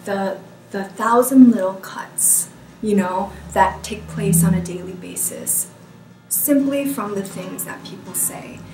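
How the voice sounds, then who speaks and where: Fairly slow speech in an American accent, with noticeable background noise and audible room echo. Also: woman, big swings in loudness. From United States. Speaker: educator on race and diversity. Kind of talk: interview talk. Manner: hesitant, many fillers.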